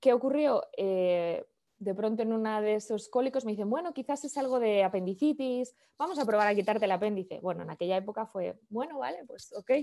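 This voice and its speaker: In a northern Spanish accent, a woman speaks fairly quickly with a fairly high pitch, lively intonation and a dark, mellow tone, on a very clean recording with a silent background. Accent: northern peninsular Spanish (Castilian). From Spain, Valladolid (Castile). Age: 30s. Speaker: digital business consultant. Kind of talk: interview conversation.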